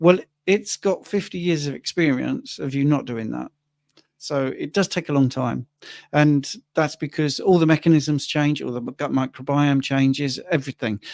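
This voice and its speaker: With a plain, everyday voice, a man speaks at a moderate pace and a fairly high pitch with ordinary pitch variation, in a very clean recording with a silent background and a dry, close sound with no echo. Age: 60s. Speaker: livestream co-host, carnivore diet influencer. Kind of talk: livestream Q&A. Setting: livestream.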